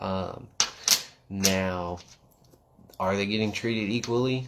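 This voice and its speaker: The speaker is a man with a fairly low pitch and ordinary pitch variation. He talks at a fairly slow pace. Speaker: quad racer and livestream host. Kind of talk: casual livestream chat. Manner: loud.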